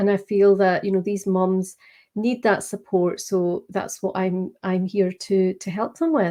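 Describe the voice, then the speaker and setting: A woman with a Scottish accent, medium pitch, a dark, mellow tone, fairly even intonation and a fairly slow pace, over a quiet background. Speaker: business coach. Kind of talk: interview.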